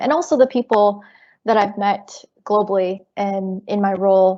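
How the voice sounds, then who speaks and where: A woman talks with fairly even intonation. Hers is a plain, everyday voice. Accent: American. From US. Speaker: software engineer. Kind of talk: webinar panel talk.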